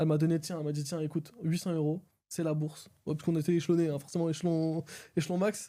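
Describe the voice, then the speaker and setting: Very fast and monotone, flat in intonation, a man speaks in a dark, mellow tone on a very clean recording with a silent background. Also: fairly high pitch for a man. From France. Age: 20s. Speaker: video editor. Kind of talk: interview. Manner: casual, fast.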